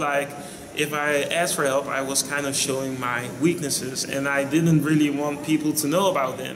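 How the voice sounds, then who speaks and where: Over noticeable background noise and audible room echo, a man with a Dutch accent talks at a moderate pace and fairly high pitch, his intonation fairly even. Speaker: vlogger. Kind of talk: casual vlog monologue.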